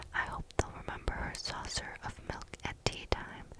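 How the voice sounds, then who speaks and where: The speaker whispers over noticeable background noise. The pace is moderate. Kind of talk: storybook reading. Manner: soft-spoken.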